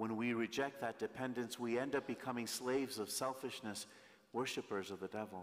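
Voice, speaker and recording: The words come fairly quickly. The speaker is a man. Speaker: priest. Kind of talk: sermon. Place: church. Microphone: podium.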